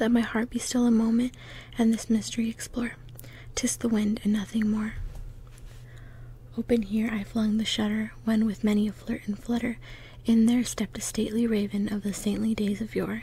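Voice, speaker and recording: A woman whispers, soft-spoken and somewhat breathy. Long, frequent pauses break up her speech, and the sound is dry with no echo. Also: moderate pace. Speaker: poetry reader. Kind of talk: dramatic poetry reading. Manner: soft ASMR whisper reading poetry. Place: home room. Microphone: phone near.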